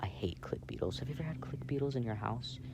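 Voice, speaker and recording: A man talks at a medium pitch with noticeable background noise present. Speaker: ASMR roleplay creator. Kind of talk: casual book reading aloud. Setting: outdoors. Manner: soft-spoken.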